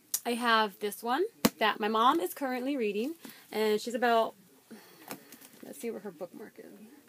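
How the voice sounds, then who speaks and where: Her pace is moderate. This woman's voice is high in pitch, with ordinary pitch variation. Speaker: book vlogger. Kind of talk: casual monologue.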